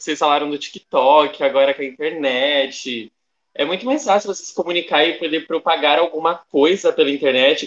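A man with a normal speaking voice talks at a moderate pace, his pitch fairly high and ordinarily varied. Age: young. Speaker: student podcast co-host. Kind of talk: casual chat.

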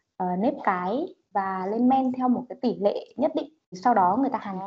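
Pitched fairly high, a woman uses an ordinary speaking voice with lively intonation at a moderate pace. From Vĩnh Phúc, northern Vietnam. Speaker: podcast co-host. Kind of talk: casual chat.

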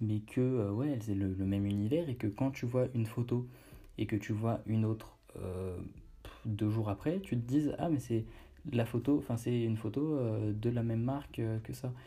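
A man talks at a moderate pace in a medium pitch, with ordinary pitch variation. His tone is dark and mellow, and somewhat breathy. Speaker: podcast host on online brand building. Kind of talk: casual solo monologue. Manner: hesitant with fillers.

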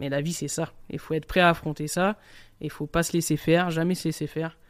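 A man talks at a fairly quick pace in a fairly high pitch with fairly even intonation. The recording is very clean, with a silent background. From southern France, Nice. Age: 30s. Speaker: chef. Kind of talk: interview testimony. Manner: casual, colloquial.

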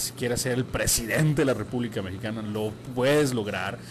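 A man speaks at a fairly quick pace and medium pitch with fairly even intonation, over music in the background and with audible room echo. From Sinaloa, Mexico. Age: 30s. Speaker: radio announcer. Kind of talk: interview.

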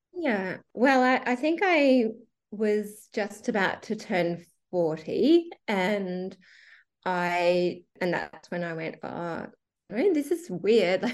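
In an Australian accent, a woman talks at a very slow pace and a medium pitch with very wide pitch swings over a quiet background. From Western Queensland, Australia. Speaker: teacher. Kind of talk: interview testimony. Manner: hesitant with fillers.

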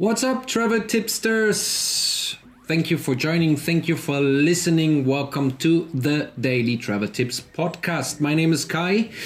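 A man with a German accent talks at a fairly slow pace with hardly any pauses and very even loudness. His fairly high pitch carries lively intonation over noticeable background noise. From Germany. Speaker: travel podcast host. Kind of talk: solo podcast monologue. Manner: rambling and hesitant, many fillers.

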